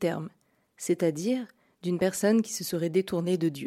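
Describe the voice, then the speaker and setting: A woman with a dark, mellow tone speaks at a moderate pace with ordinary pitch variation, in a very clean recording with a silent background. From Burgundy, France. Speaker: podcast host. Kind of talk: scripted narration. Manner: formal.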